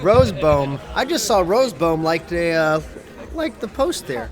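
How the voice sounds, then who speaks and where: Music plays in the background as a man with an American accent speaks. His pace is moderate and his intonation lively. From US South, South Carolina. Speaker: poker commentator. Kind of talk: live commentary. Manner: casual, chatty.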